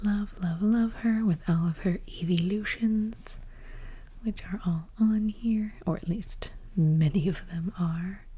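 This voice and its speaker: Soft-spoken and somewhat breathy, the voice has a dark, mellow, calm tone and moves at a very slow pace. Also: woman, medium pitch for a woman, ordinary pitch variation. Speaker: ASMR content creator and cosplayer. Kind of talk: ASMR show-and-tell, casual talk to camera. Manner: soft-spoken, quiet, calm.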